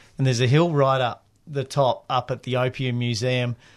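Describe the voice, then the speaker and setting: Talking at a moderate pace, a man speaks in an Australian accent. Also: quiet background. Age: 40s. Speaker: penny-farthing bicycle builder. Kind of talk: radio interview, casual chat. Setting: radio studio.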